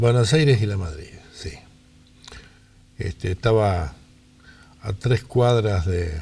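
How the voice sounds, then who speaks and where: Delivery is very slow, with long, frequent pauses and lively intonation. The tone is dark and mellow, somewhat breathy. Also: man, fairly low pitch for a man. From Rosario, Argentina. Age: 80s+. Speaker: interviewee. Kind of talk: life-story interview.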